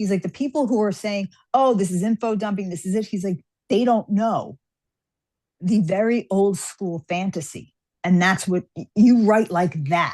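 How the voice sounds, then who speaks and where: The recording is dry and close with no echo, as a woman talks in an ordinary speaking voice with ordinary pitch variation. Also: medium pitch for a woman, moderate pace. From New York. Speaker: fantasy author. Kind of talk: interview.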